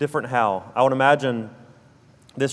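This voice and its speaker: In a southern Alabama accent, a man talks with fairly even intonation. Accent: South Alabama drawl. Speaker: preacher. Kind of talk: sermon.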